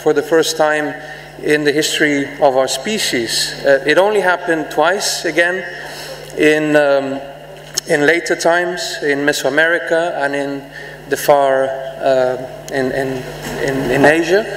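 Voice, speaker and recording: A man speaks at a fairly slow pace with fairly even intonation and long, frequent pauses. Audible room echo and light background noise surround his voice. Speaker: conference speaker. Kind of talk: conference speech. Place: hall. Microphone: podium.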